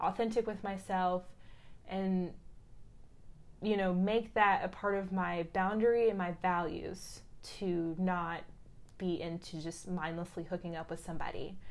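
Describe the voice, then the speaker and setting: A woman with a medium pitch talks at a fairly slow pace. Her intonation is monotone and flat. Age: 20s. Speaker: flight attendant. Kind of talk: casual chat.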